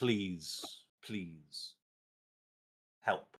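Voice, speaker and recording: In a put-on character voice, a man speaks with a very deep, low pitch. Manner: shouting, pleading.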